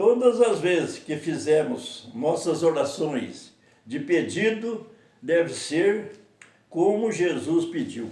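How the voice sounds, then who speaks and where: A man's high-pitched voice at a very slow pace, with audible room echo. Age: 80s+. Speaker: lay preacher. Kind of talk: sermon.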